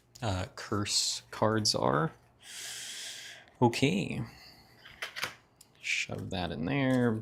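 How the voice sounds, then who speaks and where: Very slowly and with long, frequent pauses, a man speaks in a fairly low voice with vocal fry and very wide pitch swings. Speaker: board game YouTuber. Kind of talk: casual unboxing commentary.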